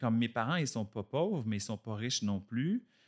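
A man with a plain, everyday voice speaks at a moderate pace with lively intonation in a dry, close sound with no echo. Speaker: actor and director. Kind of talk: casual chat.

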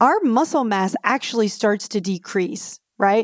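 An ordinary speaking voice from a woman, fairly high-pitched with lively intonation, at a fairly slow pace in a dry, close sound with no echo. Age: 50s. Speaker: clinical nutritionist. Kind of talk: interview.

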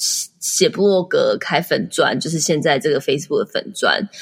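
A woman speaks at a fairly quick pace. She has an ordinary speaking voice. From Taiwan. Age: 30s. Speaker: entrepreneur and blogger. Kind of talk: interview.

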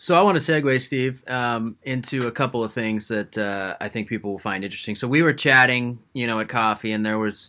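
A man with an unremarkable speaking voice moves at a fairly quick pace and ordinary pitch variation, captured in a very clean recording against a silent background. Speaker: podcast host. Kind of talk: casual interview.

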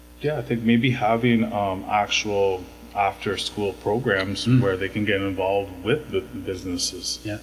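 Noticeable background noise sits under a man's fairly low voice. He talks at a moderate pace with lively intonation. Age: 40s. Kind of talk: interview. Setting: podcast.

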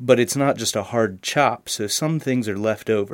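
His pace is moderate. The man has an American accent. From Pennsylvania. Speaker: college student and audio engineer. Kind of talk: phone interview.

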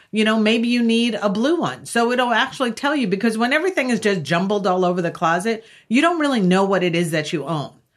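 With an American accent, a woman speaks at a very fast pace in a fairly high voice, her pitch swinging very widely. Her loudness stays very even over a quiet background. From US Northeast (Long Island, New York). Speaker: professional organizer. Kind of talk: casual chat. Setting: studio.

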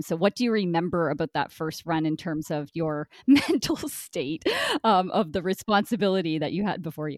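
An ordinary speaking voice from a woman with a fairly low pitch and ordinary pitch variation, at a moderate pace, in a dry, close sound with no echo on a very clean recording with a silent background. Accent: Canadian. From Brockville, Ontario, Canada. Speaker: podcast host. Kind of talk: casual chat.

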